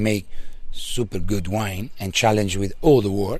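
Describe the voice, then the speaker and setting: The voice has a dark, mellow tone and an Italian accent. Its pace is fairly slow. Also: man. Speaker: winery owner family member. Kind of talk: interview answer. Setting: outdoors.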